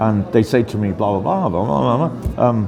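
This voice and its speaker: A man with a British accent speaks in a room with audible echo and noticeable background noise. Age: 60s. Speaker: interviewee. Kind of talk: casual interview. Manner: hesitant, repeats words.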